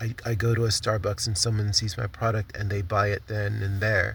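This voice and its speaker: Somewhat breathy and fairly low in pitch, a man's voice keeps a fairly even intonation. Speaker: vlogger and small craft business owner. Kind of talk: casual vlog update. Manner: halting, stumbling with many fillers.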